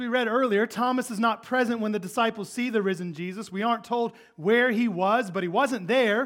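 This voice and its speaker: The voice is loud, with a fairly quick pace and hardly any pauses. Its intonation stays fairly even. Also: man, high pitch for a man. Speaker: pastor. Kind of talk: sermon. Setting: church.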